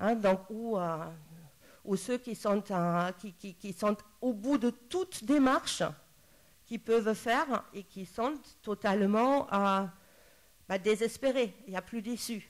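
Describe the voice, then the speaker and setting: A woman talks at a very slow pace with long, frequent pauses and big swings in loudness. Her fairly high pitch shows ordinary variation. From Germany. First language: German (speaking French). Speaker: psychologist. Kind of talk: panel talk. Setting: round table with audience. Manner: halting, many hesitations.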